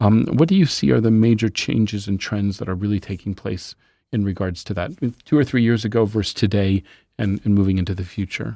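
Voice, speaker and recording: In a very clean recording with a silent background, a man talks at a fairly quick pace in a fairly low pitch with ordinary pitch variation, an ordinary speaking voice. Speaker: podcast host. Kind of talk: interview, scripted intro then casual conversation.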